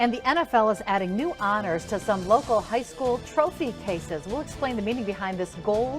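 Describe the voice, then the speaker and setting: A woman talks at a fairly quick pace with lively intonation. Music plays in the background. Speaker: TV news anchor. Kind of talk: TV news teaser.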